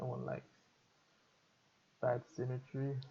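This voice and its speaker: The voice belongs to a man. It comes across somewhat breathy. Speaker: video editing tutor streamer. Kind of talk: tutorial. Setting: live stream. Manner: casual, hesitant with fillers.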